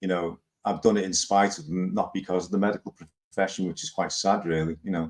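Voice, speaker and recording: In a Liverpool accent, a man speaks at a very fast pace. His very deep, low voice shows ordinary pitch variation. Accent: Liverpool (Scouse). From Liverpool, England. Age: 60s. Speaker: live stream host. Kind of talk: casual chat. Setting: live stream.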